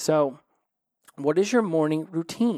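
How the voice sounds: A man speaks slowly with a dark, mellow tone. His pitch is fairly high and his intonation lively.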